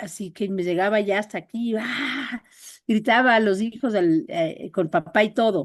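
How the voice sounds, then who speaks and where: Pitch varies in an ordinary way as the speech unfolds fairly slowly. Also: woman, fairly high pitch for a woman. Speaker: workshop participant. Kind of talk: personal sharing in group talk. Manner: friendly, calm.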